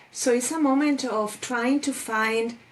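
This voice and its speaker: A woman with a Spanish accent, high in pitch, at a very slow pace. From Spain. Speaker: life coach. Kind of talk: interview.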